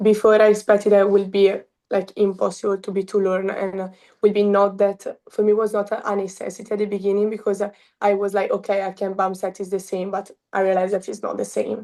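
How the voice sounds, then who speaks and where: In an Italian accent, a woman talks at a very fast pace with a medium pitch, a dark, mellow tone and monotone, flat intonation. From Italy, Milan. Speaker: college beach volleyball player. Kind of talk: interview. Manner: halting.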